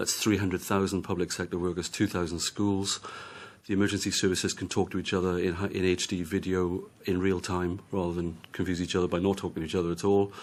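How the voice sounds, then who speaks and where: A man with a Welsh accent speaks at a very fast pace. His very deep, low voice stays monotone with flat intonation. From Wales. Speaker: policy adviser and report author. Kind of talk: committee hearing testimony. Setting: parliamentary committee hearing.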